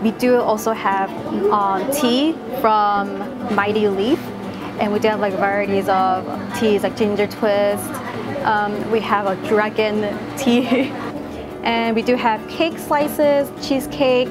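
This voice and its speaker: With clear music in the background, a woman speaks at a very slow pace, with long, frequent pauses and ordinary pitch variation. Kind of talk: interview answer. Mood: friendly, enthusiastic. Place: cafe.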